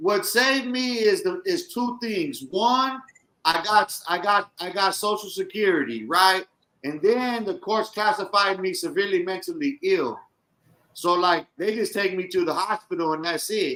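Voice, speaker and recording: A man's raised, projected voice, high in pitch, with lively intonation at a moderate pace. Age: 40s. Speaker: podcast co-host, formerly incarcerated. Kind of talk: casual chat.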